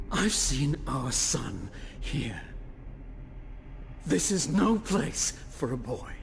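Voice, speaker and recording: A put-on character voice at a low-to-middle pitch, very slow, with long, frequent pauses and clear background noise. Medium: video game. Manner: brooding, intense.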